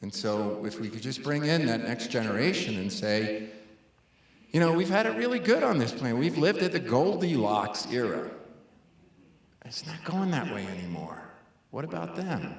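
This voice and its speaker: A man's medium-pitched voice with an American accent, very wide pitch swings, a moderate pace, long and frequent pauses, and audible room echo. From New York City (Brooklyn). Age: 60s. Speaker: conservation scientist. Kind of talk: public lecture Q&A.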